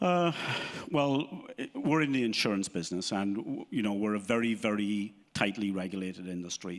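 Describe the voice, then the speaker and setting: Very clean recording with a silent background of a man with an Irish accent, fairly low pitch and lively intonation. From Ireland. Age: 50s. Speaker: insurance business owner. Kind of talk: live interview. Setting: stage with audience.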